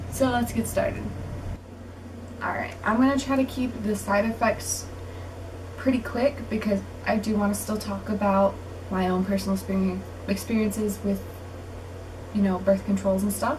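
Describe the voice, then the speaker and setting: A woman at a moderate pace with long, frequent pauses, plus audible room echo and noticeable background noise. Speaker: vlogger. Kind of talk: casual vlog talk.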